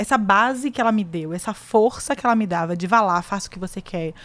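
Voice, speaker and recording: A woman speaks at a fairly quick pace in a plain, everyday voice, with ordinary pitch variation on a very clean recording with a silent background. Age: 30s. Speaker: podcast host, lawyer. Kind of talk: casual chat.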